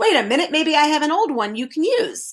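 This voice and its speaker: This put-on character voice is squeaky, moving at a fairly quick pace with very wide pitch swings. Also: woman. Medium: read story. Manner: brisk, officious.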